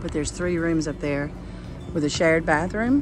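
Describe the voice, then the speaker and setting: Clear music plays in the background as the voice moves at a fairly quick pace, with a dry sound and no echo. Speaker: travel vlogger guide. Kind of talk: casual tour commentary. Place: street. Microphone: phone near.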